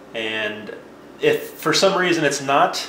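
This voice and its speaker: There is audible room echo as a man speaks. Light background noise sits underneath. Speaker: tech video presenter. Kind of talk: tutorial. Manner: casual, explanatory. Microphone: camera far.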